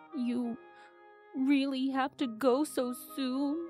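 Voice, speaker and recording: A female-sounding, shaky, put-on character voice speaks at a very slow pace. Clear music plays in the background. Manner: sad, reluctant.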